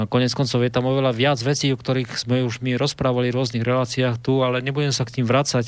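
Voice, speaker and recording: A man speaks in a monotone, flat intonation at a medium pitch, very fast with hardly any pauses and very even loudness. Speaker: retired army officer and diplomat. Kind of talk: radio talk show interview. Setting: studio. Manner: hesitant, many fillers.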